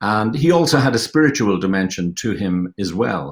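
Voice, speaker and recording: At a moderate pace, a man talks with an Irish accent. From Ireland. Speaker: film director and producer. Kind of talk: panel discussion. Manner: halting, many fillers.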